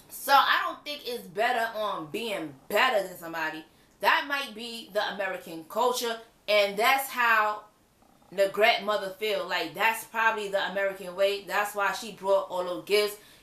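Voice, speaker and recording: A woman at medium pitch with ordinary pitch variation, big swings in loudness and a moderate pace, over noticeable background noise. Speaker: reality TV reviewer. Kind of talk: casual video review monologue. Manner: animated.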